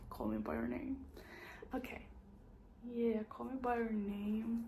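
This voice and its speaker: A woman's voice comes with audible room echo. Noticeable background noise is also heard. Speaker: booktuber. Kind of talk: casual monologue to camera. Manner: halting, many fillers.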